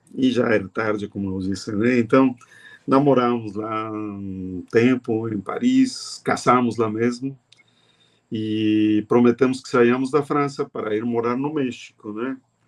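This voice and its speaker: This man talks at a fairly slow pace and a medium pitch, with fairly even intonation. His loudness swings widely. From Mexico. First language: Spanish (speaking Portuguese). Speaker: music professor and researcher. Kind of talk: interview conversation.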